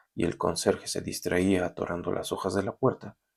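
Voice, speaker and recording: The intonation stays monotone and flat. Speech proceeds at a moderate pace. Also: man. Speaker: university lecturer. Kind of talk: recorded lecture then reading aloud a story. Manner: halting.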